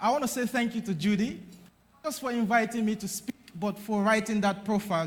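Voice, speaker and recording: With a Nigerian accent, this man talks at a fairly quick pace in a high pitch. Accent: Nigerian twang. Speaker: conference speaker on digital strategy. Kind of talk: conference keynote speech. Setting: stage with audience. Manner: loud, energetic.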